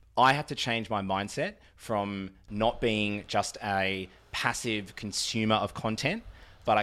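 A man's bright, sharp voice in an Australian accent, fairly low in pitch, fairly slow, with fairly even intonation. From Australia, Melbourne eastern suburbs. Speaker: podcast guest. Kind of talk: casual chat. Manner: musical, charismatic delivery.

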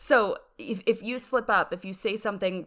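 A woman speaks with an American accent and ordinary pitch variation. The recording is very clean, with a silent background. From US Pennsylvania. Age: 20s. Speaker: YouTuber. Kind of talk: casual interview chat. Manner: fast talker.

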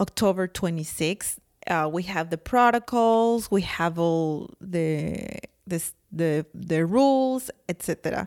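A woman's fairly low voice with a strong non-native accent, lively intonation and a very slow pace, dry and close with no echo, on a very clean recording with a silent background. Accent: thick foreign accent in English. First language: not English. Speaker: podcast co-host. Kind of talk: casual chat.

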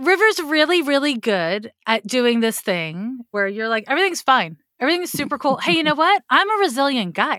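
Her voice raised and projected, a woman speaks at a high pitch with a bright, sharp tone, very wide pitch swings, a moderate pace and hardly any pauses. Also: dry, close sound with no echo. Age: 40s. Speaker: astrologer. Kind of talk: astrology reading.

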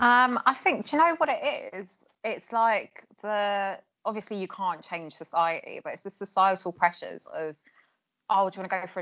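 Someone with an Essex accent speaks at a moderate pace with ordinary pitch variation. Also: woman. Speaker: childhood friend. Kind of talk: casual chat.

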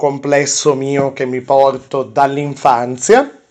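Very slow male speech, with noticeable noise in the background. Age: 20s. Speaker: podcast host. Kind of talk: casual chat. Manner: halting.

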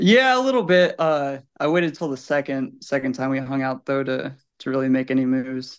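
A man with an unremarkable speaking voice, fairly high pitch, fairly even intonation and a fairly quick pace, against a quiet background. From Illinois. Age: 20s. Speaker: listener. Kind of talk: casual chat. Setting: video call.

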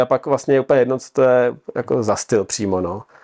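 A man speaks at medium pitch and a moderate pace in an unremarkable speaking voice. The sound is dry and close, with no echo. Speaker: triathlete and adventurer. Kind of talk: casual chat.

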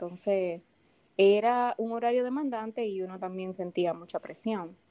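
A woman's mid-pitched voice with a Dominican accent, dark and mellow in tone, with ordinary pitch variation at a moderate pace. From Dominican Republic, Santo Domingo. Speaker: paramedic and first-aid instructor. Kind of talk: casual interview. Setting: studio.

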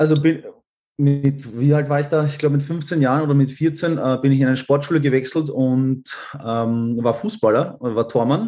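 The voice has a dark, mellow tone and very even loudness. It moves at a moderate pace with ordinary pitch variation. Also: man, fairly high pitch for a man. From Austria. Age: 20s. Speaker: pilot. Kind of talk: casual chat.

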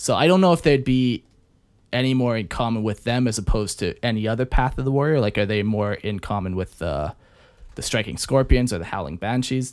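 Over a very clean recording with a silent background, a man with an ordinary speaking voice talks at a medium pitch and a fairly quick pace with lively intonation. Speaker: podcast host. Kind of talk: casual chat. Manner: joking, casual.

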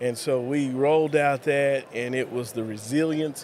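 Over noticeable background noise, a man speaks fairly slowly at a fairly high pitch with fairly even intonation. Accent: West Texas. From West Texas (Lubbock). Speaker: school superintendent. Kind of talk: interview.

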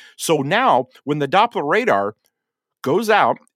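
A man with a Midwestern American accent speaks at a fairly slow pace in a fairly high pitch, recorded with a dry, close sound and no echo. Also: very clean recording, silent background. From western Indiana. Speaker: TV meteorologist. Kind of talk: interview conversation. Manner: animated.

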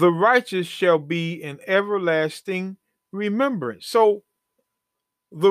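A man's high voice with lively intonation, in dry, close sound with no echo, on a very clean recording with a silent background. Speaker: bible teacher, podcast host. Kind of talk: bible teaching sermon. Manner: halting when reading scripture.

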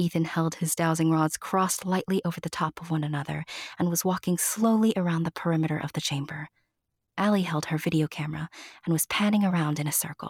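A somewhat breathy woman's voice at a fairly low pitch and a very fast pace, with fairly even intonation and a dry, close sound with no echo. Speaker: narrator. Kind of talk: audiobook-style scripted narration of a fairy tale. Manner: storyteller's warm, measured, expressive delivery with playful asides.

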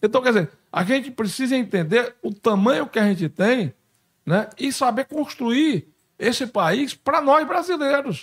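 A man with an extremely high pitch and lively intonation speaks at a fairly slow pace, the sound dry and close with no echo. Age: 60s. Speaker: congressman. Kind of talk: interview.

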